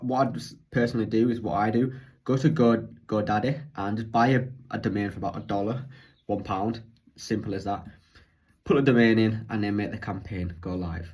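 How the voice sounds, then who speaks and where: A man talks fairly quickly at a medium pitch with ordinary pitch variation, his voice somewhat breathy, with audible room echo. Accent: British. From UK. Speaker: online business coach. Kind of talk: tutorial. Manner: fast.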